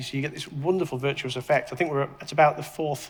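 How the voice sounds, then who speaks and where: Speaking with a British accent, a man uses a fairly high pitch in a monotone, flat intonation. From UK. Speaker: tech entrepreneur and investor. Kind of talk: panel discussion. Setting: stage with audience. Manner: halting, many repetitions.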